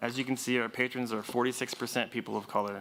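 The voice moves at a fairly quick pace, bright and sharp in tone, with monotone, flat intonation. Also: man. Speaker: library branch manager. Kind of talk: presentation at a public board meeting. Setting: board meeting on microphone. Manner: fast.

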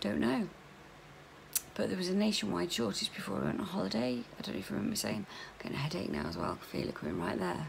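A woman talks at a very fast pace over light background noise. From UK. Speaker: vlogger. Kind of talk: casual chat. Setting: video vlog at home. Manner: chatty, informal. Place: home room. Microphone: phone near.

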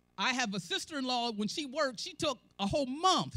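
A woman's high-pitched voice moves along at a moderate speed. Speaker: church elder preaching. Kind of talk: sermon. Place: church. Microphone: handheld.

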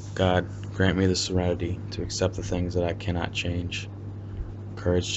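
Through noticeable background noise, a man with a very deep, low voice speaks at a moderate pace in monotone, flat intonation. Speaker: meditation guide. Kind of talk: guided meditation with prayer readings; fervent prayer, earnest and devout. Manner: earnest, heartfelt, reverent.

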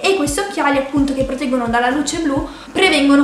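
A woman with a high pitch talks at a very fast pace. Audible room echo and light background noise are present. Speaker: vlogger. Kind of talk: casual vlog chat, sponsored product review. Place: home room.

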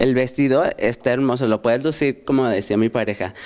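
Fairly quick in pace, a man speaks at medium pitch with fairly even intonation. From Fresnillo, Mexico. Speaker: hair stylist. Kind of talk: studio TV chat.

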